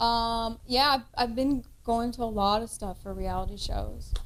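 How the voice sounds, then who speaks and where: A woman with a Kentucky accent speaks at a fairly high pitch. Her pace is moderate. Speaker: podcast cohost and actress. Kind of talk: casual chat.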